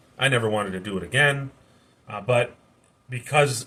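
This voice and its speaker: A man talks loudly in a bright, sharp tone. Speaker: youtuber sharing life story, former prisoner. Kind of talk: personal testimony monologue. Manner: halting, self-correcting.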